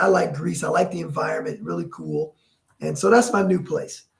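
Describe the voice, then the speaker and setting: Music can be heard behind the voice. The speaker is a man with an American accent. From Detroit, Michigan, US. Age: 60s. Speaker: pro basketball team owner. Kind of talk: casual interview. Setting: video call. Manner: halting.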